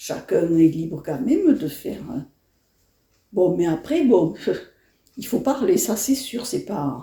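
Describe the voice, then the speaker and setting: A woman with a fairly high, somewhat breathy voice and a dark, mellow tone speaks at a very slow pace. Her pitch swings very widely, and she leaves long, frequent pauses. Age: 70s. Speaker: elderly interviewee. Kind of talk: interview. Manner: halting.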